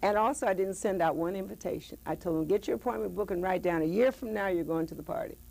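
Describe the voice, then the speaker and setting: Animated and lively in intonation, a woman talks very fast at medium pitch with vocal fry and hardly any pauses. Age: 70s. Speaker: author and former dancer. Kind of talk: interview.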